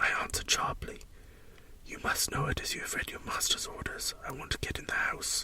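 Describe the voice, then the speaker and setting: Someone whispers at a fairly quick pace, with noticeable background noise. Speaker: story narrator. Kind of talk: read story. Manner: whispered.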